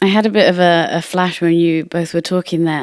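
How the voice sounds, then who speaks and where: In a northern English accent, a woman talks at a moderate pace and fairly low pitch with monotone, flat intonation. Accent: very British, very northern English. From northern England, Manchester. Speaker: music industry professional. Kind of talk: casual podcast conversation.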